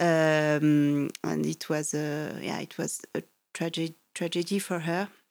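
Monotone, flat intonation in a French accent on a very clean recording with a silent background. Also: woman, very deep, low pitch for a woman. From French Alps, France. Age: 40s. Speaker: mountain guide and climber. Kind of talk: interview. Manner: hesitant, many fillers.

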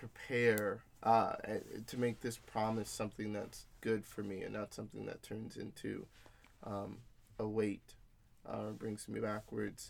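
Here a man with a plain, everyday voice speaks at a fairly slow pace and a medium pitch. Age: young. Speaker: corporate executive and podcast co-host. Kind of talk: casual chat.

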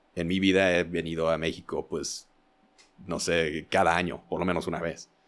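A man's very deep, low voice with fairly even intonation at a fairly slow pace, in a very clean recording with a silent background. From US Midwest, Indiana. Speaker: video producer and editor. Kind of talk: casual chat.

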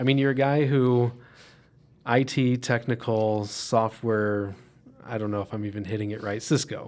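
Using a normal speaking voice, a man moves at a moderate pace with fairly even intonation. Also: medium pitch for a man. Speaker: podcast host. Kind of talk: casual interview chat.

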